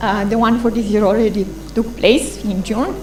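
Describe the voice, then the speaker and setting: Audible room echo and noticeable background noise accompany a woman speaking. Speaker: conference presenter on internet governance. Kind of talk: conference presentation. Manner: fast.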